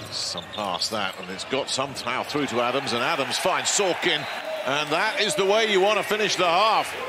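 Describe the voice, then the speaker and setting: Over noticeable background noise, a man with a fairly high pitch speaks at a moderate pace with very wide pitch swings. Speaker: sports commentator. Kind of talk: live basketball commentary. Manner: excitable at big plays.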